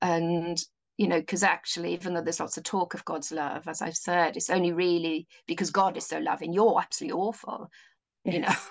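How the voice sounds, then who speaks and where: A woman speaks at a fairly quick pace in a Welsh accent. Her pitch is fairly low and her intonation fairly even. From Wales. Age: 50s. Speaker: mental health social worker. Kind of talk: casual chat.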